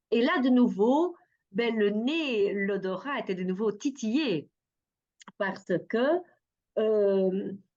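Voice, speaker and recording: A woman with a Dutch accent, very slow and lively in intonation, with long, frequent pauses. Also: fairly high pitch for a woman. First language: Dutch (speaking French). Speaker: perfumer and art therapist. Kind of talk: interview. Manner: hesitant, many fillers.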